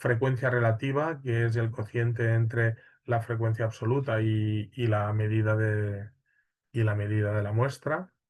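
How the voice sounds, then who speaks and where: Against a quiet background, a man speaks at a fairly slow pace and medium pitch. His voice is somewhat breathy, and his loudness stays very even. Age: 40s. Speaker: university lecturer. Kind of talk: lecture. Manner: hesitant, many fillers.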